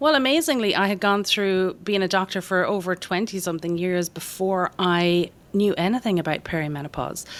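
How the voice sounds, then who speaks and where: On a very clean recording with a silent background, a woman with an Irish accent speaks with ordinary pitch variation and hardly any pauses. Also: medium pitch for a woman, fairly quick pace. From Ireland. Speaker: doctor. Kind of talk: podcast interview.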